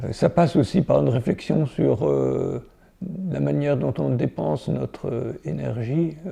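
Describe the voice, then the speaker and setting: With a dark, mellow tone and vocal fry, a man speaks at a fairly slow pace, his pitch swinging very widely. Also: medium pitch for a man. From France, Jura. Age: 70s. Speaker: ecologist, scientist. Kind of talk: interview. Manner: halting, many repetitions and hesitations.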